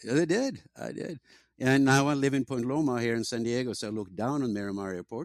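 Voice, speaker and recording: A man with a Norwegian accent at a fairly quick pace, ordinary pitch variation, and dry, close sound with no echo. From Norway. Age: old. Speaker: tech company founder. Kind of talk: interview.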